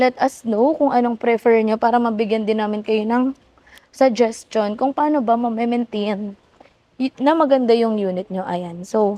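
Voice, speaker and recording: A woman talks in a normal speaking voice at a fairly high pitch, with ordinary pitch variation. Her pace is fairly slow, and the sound is dry and close with no echo. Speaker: car sales executive. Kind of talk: vlog. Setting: car stockyard.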